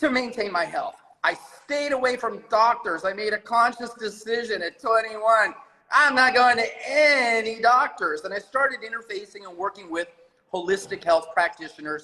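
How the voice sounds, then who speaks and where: With an American accent, a man speaks in a raised, projected voice at high pitch. His tone is animated, his intonation lively, and his pace moderate. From US West Coast. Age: 60s. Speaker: former client. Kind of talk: casual chat. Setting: video call.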